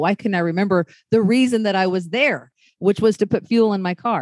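A woman talks at a fairly quick pace with ordinary pitch variation, an unremarkable speaking voice, in a quiet background with a dry, close sound and no echo. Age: 40s. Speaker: podcast host. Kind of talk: casual interview chat.

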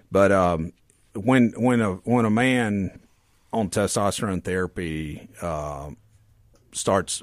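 A man speaks with a Mississippi accent. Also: very clean recording, silent background. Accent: US Southern (Mississippi). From Mississippi Delta. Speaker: medical doctor. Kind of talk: interview. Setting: radio studio.

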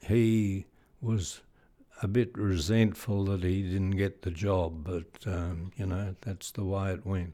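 Very slowly, a man with an Australian accent talks in a fairly low, dark, mellow tone with fairly even intonation. The recording is very clean, the background silent. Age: 80s+. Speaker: retired police chief superintendent. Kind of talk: interview, reminiscing. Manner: halting, hesitant with fillers.

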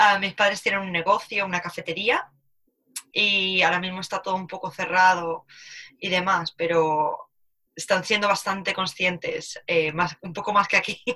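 Bright and sharp in tone, a woman at a medium pitch speaks at a moderate pace with a monotone, flat intonation. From Spain, Alicante. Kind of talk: casual chat.

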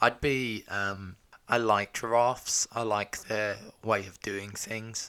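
In a British accent, a man speaks at a very slow pace in a flat monotone. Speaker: podcast co-host, husband. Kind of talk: casual chat.

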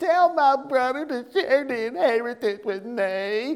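A female-sounding voice uses a put-on, whiny character voice at a high pitch. It moves at a fairly slow pace, with light background noise. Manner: whining, entitled.

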